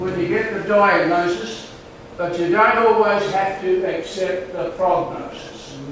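Strong room echo and light background noise accompany speech delivered at a fairly slow pace. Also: man, high pitch for a man, ordinary pitch variation. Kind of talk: testimony. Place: hall. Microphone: camera far.

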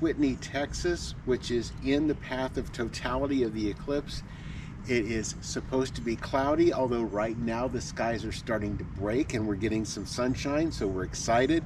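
The delivery comes at a moderate pace with hardly any pauses. The sound is dry with no echo, though noticeable background noise is present. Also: man. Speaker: travel vlogger. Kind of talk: casual vlog chat. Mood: excited, cheerful. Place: street. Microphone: camera far.

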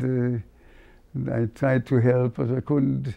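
In a German accent, a man speaks at a fairly slow pace with fairly even intonation. The background is quiet. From Berlin, Germany. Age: 80s+. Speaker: cantor, Holocaust survivor. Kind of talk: interview answer. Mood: reflective, solemn memories. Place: home room. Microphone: lapel.

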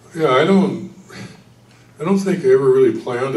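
A man is speaking. There is audible room echo. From US Midwest. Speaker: retired federal government employee, panelist. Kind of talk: church adult forum panel discussion. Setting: church. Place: hall.

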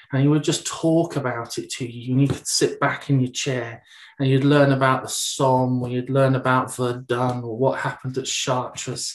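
With a British accent, a man talks at a moderate pace in a monotone, flat intonation with hardly any pauses. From UK. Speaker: English language teacher and trainer; ESOL teacher trainer. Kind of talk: webinar presentation. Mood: relaxed, conversational. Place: home room. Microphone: webcam.

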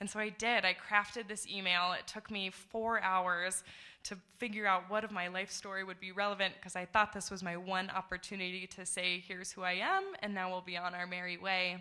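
Against a quiet background, a woman with a bright, sharp tone speaks at a fairly quick pace in a monotone, flat intonation. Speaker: storyteller. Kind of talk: live storytelling. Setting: stage with audience. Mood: warm, reflective, lightly humorous. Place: stage. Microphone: podium.

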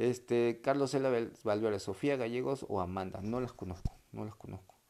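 A fairly quick pace carries this dark, mellow tone, its pitch varying in an ordinary way. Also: man. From Peru. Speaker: sports commentator doing a live stream. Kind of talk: casual livestream chat reading viewer comments. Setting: home livestream. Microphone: earbuds.

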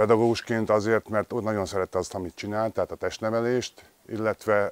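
Speaking at a fairly quick pace, a man with a fairly low pitch delivers his words in a flat monotone, with a dry sound and no echo. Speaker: former handball player. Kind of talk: interview testimony. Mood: warm, appreciative. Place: garden. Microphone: lapel.

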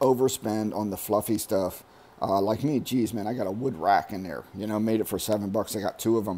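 A man with a dark, mellow tone talks at a fairly quick pace. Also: fairly low pitch for a man, ordinary pitch variation. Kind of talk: casual vlog chat. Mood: ranting about overspending. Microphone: phone near.

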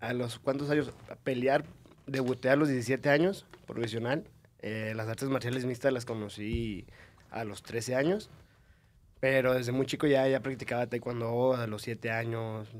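Intonation holds fairly even. The delivery runs at a fairly slow pace. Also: man. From Mexico, Monterrey; Nuevo León, Mexico. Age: 20s. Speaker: mixed martial arts fighter; podcast guest. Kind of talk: casual chat. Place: studio. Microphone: studio mic.

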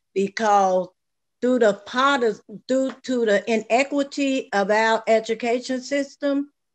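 A woman with a fairly high pitch speaks fairly slowly. Her pitch moves in an ordinary way.

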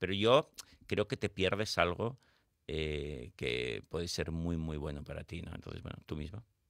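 A man's very deep, low voice at a fairly slow pace, with big swings in loudness, lively intonation and vocal fry. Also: dry, close sound with no echo. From Spain, Barcelona. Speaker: psychologist and author. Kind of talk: radio interview. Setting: radio studio.

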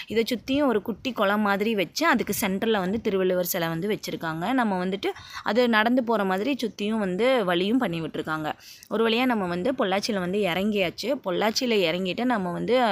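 With a normal speaking voice, a woman talks at a medium pitch with ordinary pitch variation. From Tamil Nadu, Pollachi area (Kongu region). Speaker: vlogger. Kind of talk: travel vlog narration. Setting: on a bus and walking outdoors. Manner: casual, conversational.

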